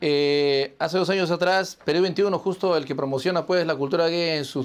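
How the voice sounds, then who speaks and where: With a normal speaking voice, a man pitched fairly high talks at a fairly quick pace and with fairly even intonation. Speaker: online show host. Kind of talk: interview.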